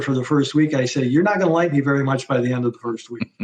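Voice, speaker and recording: This man's voice is fairly high in pitch, with fairly even intonation. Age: 60s. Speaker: physician. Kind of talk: interview. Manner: halting, many repeated words.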